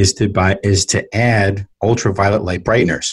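A speaker with an American accent talks at a moderate pace against a quiet background. The voice is somewhat breathy, with fairly even intonation. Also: man. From US Northeast, New York City (South Bronx). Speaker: entrepreneur. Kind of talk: interview. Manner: halting, many fillers.

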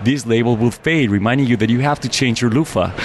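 A man talks at a very fast pace in a medium pitch. Noticeable background noise runs underneath. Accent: Mexican. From Mexico City. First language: Spanish. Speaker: business owner. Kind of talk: interview.

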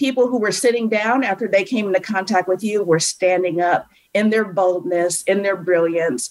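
A woman with an American accent, a medium pitch, ordinary pitch variation, and a plain, everyday voice. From US Midwest, suburb of Cleveland, Ohio. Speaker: motivational speaker and author. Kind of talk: interview. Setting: video call.

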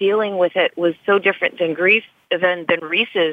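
A normal speaking voice from a woman, medium in pitch, with ordinary pitch variation and a moderate pace. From US South, western North Carolina. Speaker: author and actress. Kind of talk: interview.

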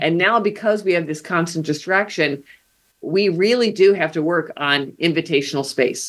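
The recording is very clean, with a silent background. A woman with a fairly low pitch speaks with ordinary pitch variation. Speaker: professor. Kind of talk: interview conversation. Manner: fast talker.

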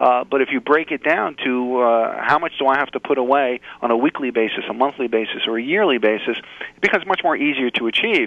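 A man talks at a fairly quick pace with hardly any pauses. He has a normal speaking voice, medium in pitch with ordinary pitch variation. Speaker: financial planner. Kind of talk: interview.

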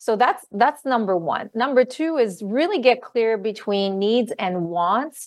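A woman speaks at a fairly high pitch with hardly any pauses. The background is quiet. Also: fairly slow pace. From Canada, Ottawa, Ontario. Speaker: love and relationship coach. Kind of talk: interview. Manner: animated.

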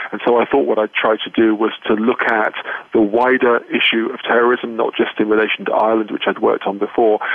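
A man talks very fast in a medium-pitched, monotone voice with flat intonation. Noticeable background noise runs behind him. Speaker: professor and terrorism expert. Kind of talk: interview answers, explanatory. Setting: phone call from Belfast. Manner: measured, formal.

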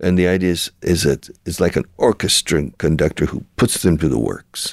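The recording is very clean and the background silent. A male speaker talks with a very deep, low pitch. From Texas (Houston). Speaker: radio show host, language school founder. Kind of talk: radio interview. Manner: animated.

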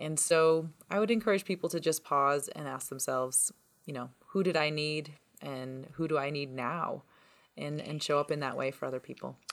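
Speaking with a Canadian accent at a moderate pace, a woman with a very deep, low pitch shows ordinary pitch variation. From Ontario, Canada. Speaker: author and educator. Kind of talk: interview. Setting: remote call.

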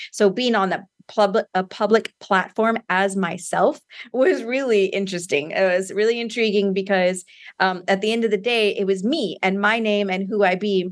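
A woman's plain, everyday voice, medium in pitch, at a moderate pace with fairly even intonation. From US, San Antonio, Texas. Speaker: author and empowerment coach. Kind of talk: interview.

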